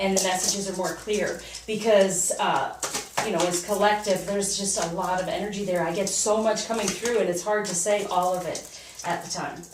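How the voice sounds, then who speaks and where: Flat, monotone intonation comes through with audible room echo and noticeable background noise. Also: woman, medium pitch for a woman. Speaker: tarot reader. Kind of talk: personal tarot reading. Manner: fast.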